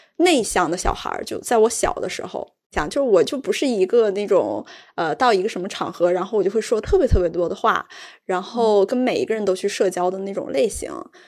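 A woman speaks at medium pitch with a slight northeastern Chinese accent. Her intonation is lively and her pace fairly quick. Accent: slight northeastern Mandarin. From Jilin, Changchun. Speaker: podcast host. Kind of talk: casual chat.

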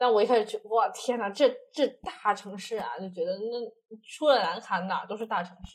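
Speaking at a moderate pace, a woman uses a normal speaking voice with fairly high pitch and ordinary pitch variation. Her loudness swings widely. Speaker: accountant and amateur stand-up comedian. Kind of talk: casual interview chat.

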